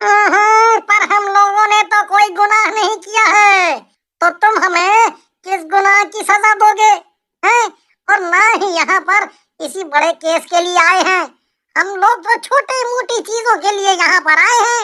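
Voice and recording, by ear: An extremely high-pitched, cartoonish character voice moves at a moderate pace.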